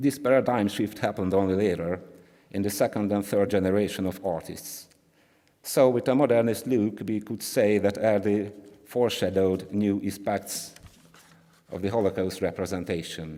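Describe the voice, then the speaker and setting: A man with a Hungarian accent, fairly low in pitch, with a dark, mellow tone, fairly even intonation and a moderate pace. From Hungary. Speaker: art historian. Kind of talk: conference talk. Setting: conference with audience. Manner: halting; reading from script.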